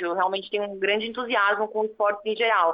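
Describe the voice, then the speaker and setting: A woman's medium-pitched voice, monotone and flat, at a fairly quick pace. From São Paulo city, Brazil. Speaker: sports lawyer. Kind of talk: interview.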